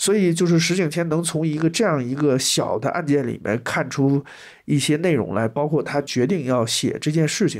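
A man has an ordinary speaking voice, fairly high in pitch, with ordinary pitch variation at a moderate pace. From southwest Shandong, China. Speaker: anthropologist, university lecturer. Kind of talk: interview discussion.

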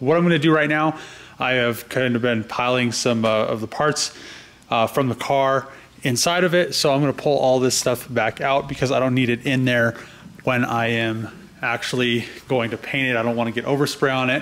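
This man speaks at a moderate pace with fairly even intonation. His loudness stays very even throughout. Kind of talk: casual vlog chat. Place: garage. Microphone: phone near.

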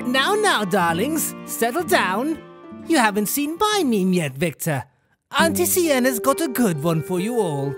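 Over faint music in the background, a put-on character voice at a middle pitch moves at a moderate pace. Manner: teasing, warm.

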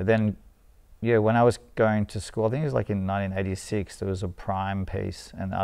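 A man with an Australian accent has a dark, mellow tone, a fairly low pitch and fairly even intonation. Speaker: street artist and painter; interviewee. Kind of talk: casual interview. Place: studio. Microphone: lapel.

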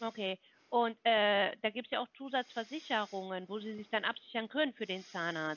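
The woman's voice sits at a fairly high pitch with ordinary pitch variation, at a moderate pace, in a dry sound with no echo. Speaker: health insurance sales caller; caller. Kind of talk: phone sales pitch. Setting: phone call. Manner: confident, fluent. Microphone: phone line.

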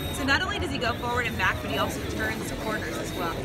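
The speech runs at a very fast pace. Loud music plays in the background. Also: woman. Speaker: presenter. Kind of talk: product demonstration. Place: hall. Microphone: phone near.

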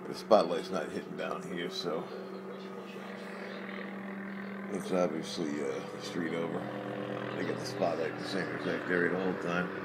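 A man talks at a moderate pace, leaving long, frequent pauses, while loud background noise fills the recording. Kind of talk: casual commentary. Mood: curious, mildly irritated. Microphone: phone near.

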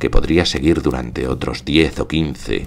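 Noticeable background noise sits under a man's very deep, low voice. He talks at a fairly slow pace with ordinary pitch variation. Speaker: actor, theatre director and audiobook narrator. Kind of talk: literary audiobook reading, first-person narration.

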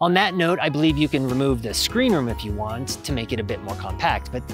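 Over clear music in the background, a man talks at a fairly quick pace, and the sound is dry with no echo. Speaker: gear reviewer. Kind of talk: product review talk to camera. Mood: upbeat, joking. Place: forest. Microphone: lapel.

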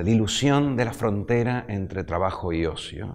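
Ordinary pitch variation in a male voice. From Argentina. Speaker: economist; guest. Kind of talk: interview. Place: studio.

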